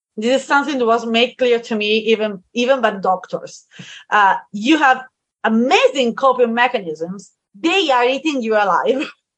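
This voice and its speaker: With an Italian accent, a woman speaks at a moderate pace in a high pitch with ordinary pitch variation. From Italy, Tuscany. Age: 30s. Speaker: wedding planner and translator. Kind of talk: panel discussion.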